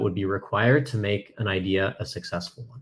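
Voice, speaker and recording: The speaker has a Canadian accent and sounds somewhat breathy. The recording is very clean, with a silent background. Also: man. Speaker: software company cofounder. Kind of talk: conference talk. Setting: virtual conference presentation.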